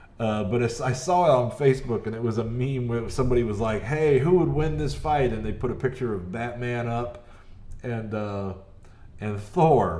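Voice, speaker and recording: Medium-pitched speech from a man, with ordinary pitch variation, a moderate pace and audible room echo. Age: 40s. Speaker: gaming streamer. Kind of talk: live gameplay commentary. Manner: loud; animated.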